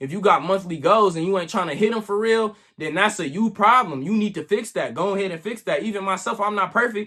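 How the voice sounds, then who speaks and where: This man's voice is high and bright with a sharp edge, raised and projected. He speaks very fast with ordinary pitch variation and hardly any pauses. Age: 20s. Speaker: content creator. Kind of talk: motivational monologue. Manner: animated; stutter.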